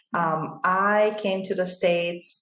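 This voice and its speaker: With fairly even intonation and a fairly low pitch, a woman speaks amid audible room echo. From Bulgaria. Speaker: financial advisor. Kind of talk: interview.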